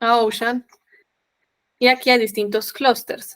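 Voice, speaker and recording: A woman speaks at a fairly slow pace. Her voice is fairly high-pitched. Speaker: software trainer. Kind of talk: tutorial.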